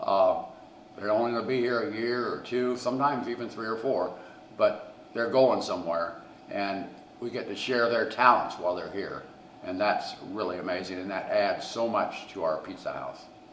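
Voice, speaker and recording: A man with a Midwestern US accent talks at a moderate pace, at a medium pitch with ordinary pitch variation. Noticeable background noise and audible room echo are present. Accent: US Midwest. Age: 70s. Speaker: pizzeria owner. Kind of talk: interview storytelling.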